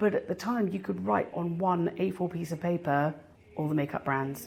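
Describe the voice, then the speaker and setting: With a British accent, a woman speaks at a moderate pace in a fairly low pitch, showing vocal fry and ordinary pitch variation. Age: 40s. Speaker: fragrance content creator. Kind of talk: interview. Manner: casual, chatty.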